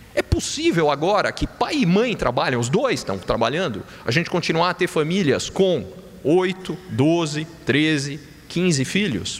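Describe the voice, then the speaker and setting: The speaker's intonation is lively and the pace fairly slow. Noticeable background noise can be heard. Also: man, high pitch for a man. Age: 40s. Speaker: economist. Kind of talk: conference talk.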